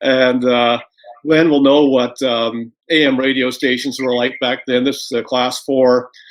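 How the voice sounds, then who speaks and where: A man's medium-pitched, monotone, flat voice at a fairly slow pace. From Canada, Toronto. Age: 60s. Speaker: former radio executive. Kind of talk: interview.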